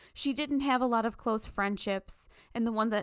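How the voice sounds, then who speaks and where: At a moderate pace and fairly high pitch, a woman speaks in a plain, everyday voice with fairly even intonation on a very clean recording with a silent background. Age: 30s. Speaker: book podcast co-host. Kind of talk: casual chat.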